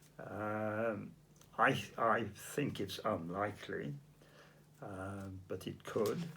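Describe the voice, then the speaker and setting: A man talks at a fairly low pitch. Vocal fry runs through his voice. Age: 80s+. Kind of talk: interview answer.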